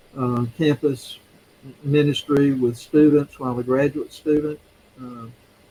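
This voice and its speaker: Speaking fairly slowly with a Mississippi accent, a man uses a fairly high pitch and monotone, flat intonation while his loudness swings widely. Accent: Southern US (Mississippi). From US South, Mississippi (Yazoo City). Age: 70s. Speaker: retired seminary teacher and ruling elder. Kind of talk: interview. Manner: halting, many fillers.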